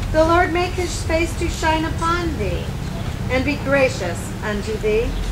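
Very slow speech over loud background noise. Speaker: wedding officiant. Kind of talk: wedding blessing. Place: garden. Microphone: camera far.

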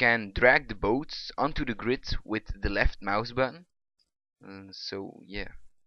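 At a very slow pace, a man with a non-native accent speaks at medium pitch, with ordinary pitch variation and big swings in loudness. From Belgium. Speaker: hobby game programmer. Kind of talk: casual screen-recorded software demo.

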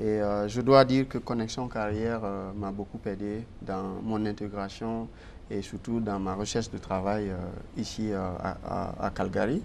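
A man talks at a fairly slow pace and a fairly low pitch. His intonation is monotone and flat, with light background noise. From Guinea. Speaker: newcomer, finance professional. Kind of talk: TV interview. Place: studio. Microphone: lapel.

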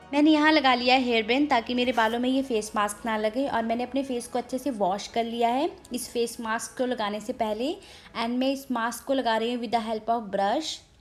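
At a moderate pace, a woman speaks with a high pitch and fairly even intonation. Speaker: beauty vlogger. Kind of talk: tutorial. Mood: calm, friendly. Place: home room. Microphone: phone near.

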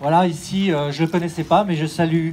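Amid light background noise, a man talks at a fairly slow pace with fairly even intonation. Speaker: race announcer. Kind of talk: solemn speech. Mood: solemn, poetic, reflective. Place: street.

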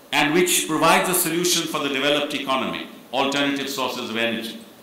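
A man speaks. There is audible echo in the room. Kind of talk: formal speech. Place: hall. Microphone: podium.

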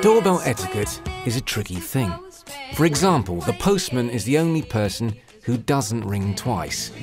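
Against music in the background, a man of medium pitch speaks at a moderate pace with very wide pitch swings. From Southern England. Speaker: voice actor. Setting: home studio.

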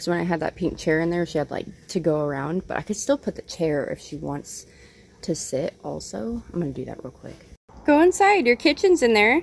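A woman at a fairly quick pace, with big swings in loudness. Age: 30s. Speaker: vlogger. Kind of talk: casual chat. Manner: rambling, fast.

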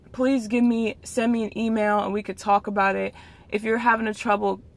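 Her delivery is monotone and flat at a moderate pace, the woman's voice recorded dry with no echo. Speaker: vlogger. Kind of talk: casual vlog chat. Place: car. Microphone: phone near.

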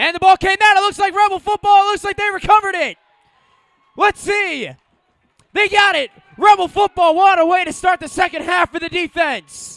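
A man with an extremely high pitch, fairly even intonation and a moderate pace. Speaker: high school football play-by-play announcer. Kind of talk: live sports commentary, play-by-play. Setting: stadium broadcast of a Friday night game.

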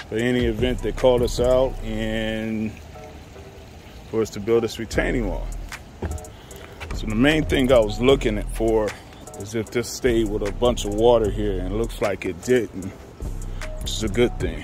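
A man speaks at a moderate pace with long, frequent pauses. The sound is dry with no echo, and faint music plays in the background. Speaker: construction contractor. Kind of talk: casual site walkthrough commentary. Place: garden. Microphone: phone near.

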